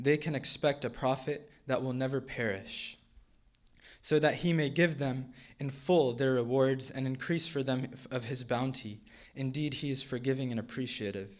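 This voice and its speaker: A man speaks at medium pitch and a moderate pace, with fairly even intonation. It is a normal speaking voice. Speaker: Quran reciter. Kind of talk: spoken English translation of Quran verses.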